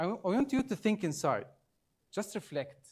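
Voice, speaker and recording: A man with an Arabic accent, lively intonation and a moderate pace, on a very clean recording with a silent background. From Egypt. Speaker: trainer. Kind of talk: training workshop presentation. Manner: halting.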